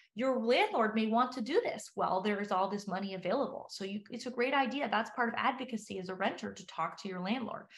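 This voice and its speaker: A woman with a fairly high, somewhat breathy voice talks very fast with hardly any pauses and ordinary pitch variation. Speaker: professor. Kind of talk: webinar presentation.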